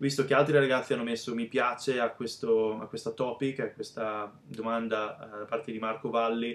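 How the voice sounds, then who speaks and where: At a moderate pace, a man talks in a flat monotone with hardly any pauses. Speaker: bodybuilding vlogger. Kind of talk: casual vlog chat. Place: home room. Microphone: webcam.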